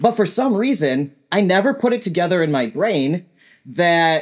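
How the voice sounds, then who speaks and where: The man's pitch swings very widely. He keeps to a fairly slow pace. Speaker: animal sanctuary owner and software engineer. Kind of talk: casual chat. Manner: energetic.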